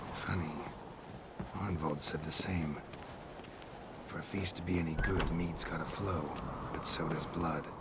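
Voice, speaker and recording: A man's put-on character voice, very deep and low, at a moderate pace over loud background noise. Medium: game stream. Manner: terse, dry, clipped sentences.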